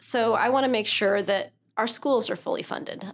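A woman talks at a moderate pace with a Midwestern American accent and fairly even intonation. The recording is very clean, with a silent background. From Northeast Missouri. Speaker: political candidate. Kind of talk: interview.

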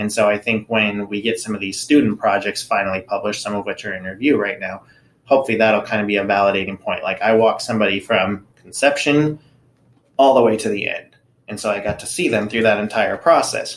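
The speaker has an American accent and a fairly quick pace. Pitch varies in an ordinary way. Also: man, fairly low pitch for a man. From Southern California (Anaheim). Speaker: professor and biomechanics researcher. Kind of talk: interview.

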